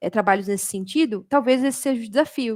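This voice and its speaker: A woman speaks at a fairly quick pace in an animated tone with ordinary pitch variation. The recording is very clean, with a silent background and a dry, close sound with no echo. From Brazil, São Paulo state. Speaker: automation developer and community speaker. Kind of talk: community talk presentation. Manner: fast.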